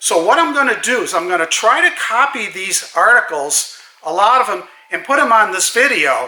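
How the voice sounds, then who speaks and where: A man with a high pitch uses a raised, projected voice at a moderate pace, his pitch swinging very widely. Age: 70s. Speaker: car enthusiast vlogger. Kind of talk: casual monologue. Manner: hesitant, with fillers.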